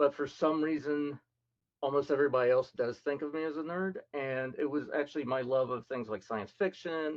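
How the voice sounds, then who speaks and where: Here is a man with an American accent and an ordinary speaking voice. His pitch is fairly high, his pace moderate, and his intonation fairly even. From US South, Memphis, Tennessee and rural Mississippi. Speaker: scientist. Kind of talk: presentation talk.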